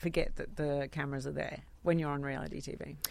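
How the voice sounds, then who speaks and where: A woman with an Australian accent talks fairly fast in a very clean recording with a silent background. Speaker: radio host. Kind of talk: casual chat.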